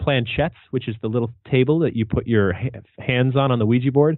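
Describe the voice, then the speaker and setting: Speaking fairly quickly at medium pitch, a man has an unremarkable speaking voice with ordinary pitch variation. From New England, US. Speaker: paranormal author and researcher. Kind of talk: interview. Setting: podcast.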